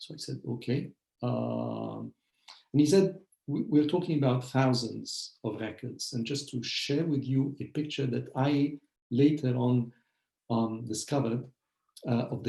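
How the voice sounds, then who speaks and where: Fairly slow and somewhat breathy, a man speaks with a medium pitch, a dark, mellow tone and fairly even intonation. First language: Arabic. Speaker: historian, professor. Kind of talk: lecture. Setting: video call webinar. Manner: hesitant, many fillers.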